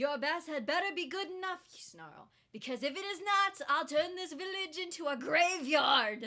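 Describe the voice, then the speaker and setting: A female-sounding put-on character voice growls at an extremely high pitch, moving at a moderate pace with hardly any pauses. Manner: snarling, menacing.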